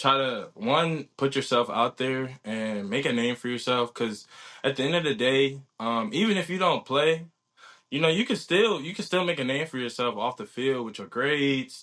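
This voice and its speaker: In a plain, everyday voice, a man with an American accent speaks at a moderate pace and medium pitch, with lively intonation, against a quiet background. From Virginia, Newport News. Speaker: college football player and student athlete. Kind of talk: casual interview. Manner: casual, many fillers and restarts.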